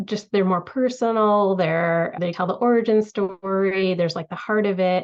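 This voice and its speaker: With an American accent, a woman talks at a moderate pace in a plain, everyday voice. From United States, Tamil family. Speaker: author. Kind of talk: casual interview chat.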